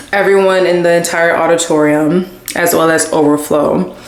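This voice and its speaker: A woman with a fairly low voice talks at a moderate pace, with audible room echo and noticeable background noise. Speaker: lifestyle vlogger. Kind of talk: casual vlog talk to camera.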